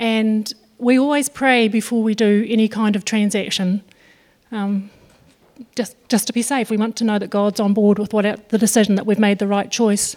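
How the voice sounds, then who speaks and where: Speaking at a moderate pace with a New Zealand accent, a woman uses a fairly high pitch and a monotone, flat intonation. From New Zealand, Northland. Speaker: farmer. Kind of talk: testimony. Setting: church.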